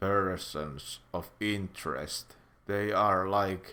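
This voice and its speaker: With a Finnish accent, a man speaks at a very slow pace in a very deep, low pitch and fairly even intonation. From Finland. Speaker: YouTuber, commentator. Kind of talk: casual commentary monologue. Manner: halting, many fillers.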